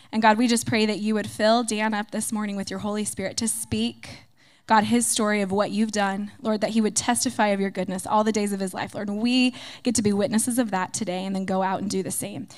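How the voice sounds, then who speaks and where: A woman talks in a normal speaking voice at a medium pitch. Her pace is fairly quick and her intonation fairly even. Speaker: pastor's wife. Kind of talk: spoken prayer. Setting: church service before a congregation.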